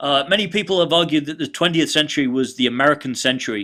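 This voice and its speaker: Speaking in a British accent, a man with a bright, sharp tone moves at a fairly quick pace with ordinary pitch variation. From Britain. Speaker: college history lecturer. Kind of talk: recorded online lecture. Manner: hesitant, many fillers.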